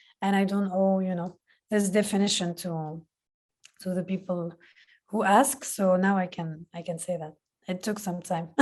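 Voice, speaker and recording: A woman speaks with a Palestinian accent at a medium pitch. Her intonation is fairly even, with long, frequent pauses. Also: moderate pace. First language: Palestinian Arabic. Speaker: film director. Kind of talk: Q&A interview. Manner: halting.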